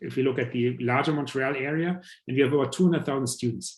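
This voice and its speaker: A man in a German accent, very fast and somewhat breathy, with medium pitch, ordinary pitch variation, and a quiet background. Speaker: professor. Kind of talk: presentation. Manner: halting, many fillers.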